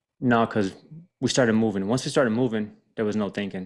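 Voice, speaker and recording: A man speaks in an unremarkable speaking voice. It sits fairly low, with fairly even intonation. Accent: American. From Miami, Florida. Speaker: army veteran and firefighter. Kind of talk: interview, personal story.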